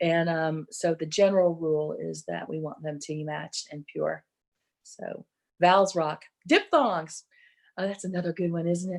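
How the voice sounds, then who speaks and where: The speaker has an American accent and fairly even intonation. Loudness swings widely from moment to moment. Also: woman, fairly low pitch for a woman. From Texas. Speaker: barbershop singing judge and presenter. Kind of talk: online workshop lecture. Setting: virtual event. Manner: hesitant, many ums.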